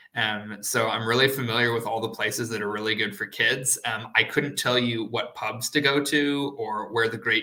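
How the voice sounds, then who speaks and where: A man with an American accent speaks in a medium pitch. His pace is moderate and his intonation fairly even. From United States. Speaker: PhD student. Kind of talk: live online Q&A. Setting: live stream panel. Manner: hesitant, many fillers.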